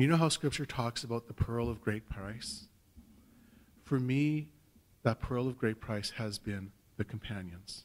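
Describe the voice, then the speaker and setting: With a Canadian accent, a man speaks at a fairly slow pace with ordinary pitch variation and long, frequent pauses. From Saskatchewan, Canada. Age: 50s. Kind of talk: personal testimony talk. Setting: stage with audience. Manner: conversational, hesitant with fillers. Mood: warm, joyful, light humour. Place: hall. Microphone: podium.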